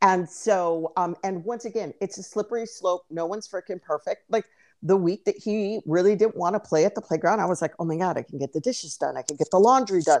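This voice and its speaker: An unremarkable speaking voice from a woman, medium in pitch with ordinary pitch variation, at a fairly quick pace with hardly any pauses, dry and close with no echo, over a quiet background. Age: 40s. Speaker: podcast co-host. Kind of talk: casual chat.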